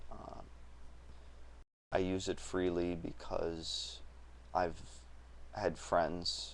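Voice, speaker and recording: Very slow speech with audible room echo. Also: man. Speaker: video blogger. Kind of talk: vlog monologue. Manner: hesitant, with fillers.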